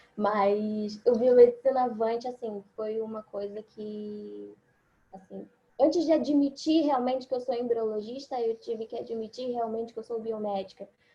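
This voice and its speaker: A woman talks at a moderate pace with fairly even intonation. Her fairly high voice has a dark, mellow tone. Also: big swings in loudness. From Rio de Janeiro, Brazil. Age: 20s. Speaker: biomedical scientist and embryologist. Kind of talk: online forum presentation.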